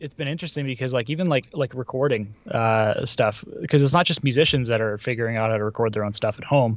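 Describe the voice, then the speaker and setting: Against a quiet background, a man with a Canadian accent talks at a fairly quick pace in an ordinary speaking voice, with ordinary pitch variation. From born in Vladivostok, Russia; based in Calgary, Canada. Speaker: electronic music producer. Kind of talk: casual interview chat.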